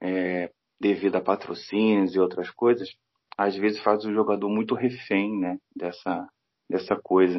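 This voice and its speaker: At a fairly slow pace, an ordinary speaking voice delivers its words with fairly even intonation. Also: man, fairly low pitch for a man. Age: 40s. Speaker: football fan commentator. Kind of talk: casual chat.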